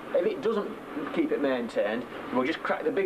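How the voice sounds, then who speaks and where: Noticeable background noise runs under this recording. A man talks at a fairly quick pace. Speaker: steam driving instructor. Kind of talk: tutorial. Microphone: old recording.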